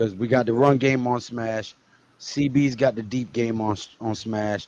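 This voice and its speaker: A man with a medium-pitched voice talks fairly slowly in an animated tone. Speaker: sports talk show host. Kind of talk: live stream sports talk. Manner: loud.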